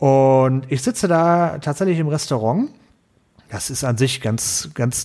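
The man has a plain, everyday voice at a medium pitch with ordinary pitch variation. The recording is very clean, with a silent background. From Ruhr area, Germany. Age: 30s. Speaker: IT consultant. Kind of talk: casual chat.

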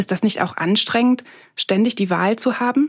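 A woman's unremarkable speaking voice, at a fairly quick pace with fairly even intonation. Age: 30s. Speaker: journalist and podcast host. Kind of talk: scripted narration with interviews.

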